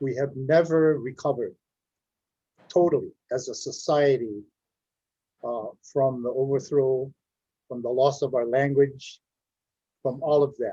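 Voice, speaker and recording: Somewhat breathy and dark, mellow in tone, a man speaks at a fairly slow pace with fairly even intonation and long, frequent pauses. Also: fairly high pitch for a man. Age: 80s+. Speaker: panelist. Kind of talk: panel discussion.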